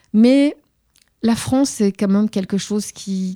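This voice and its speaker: A woman's dark, mellow tone comes through with ordinary pitch variation on a very clean recording with a silent background, the sound dry and close with no echo. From Tunisia, Tunis. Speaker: journalist and author. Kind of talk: interview conversation. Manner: halting, many repetitions.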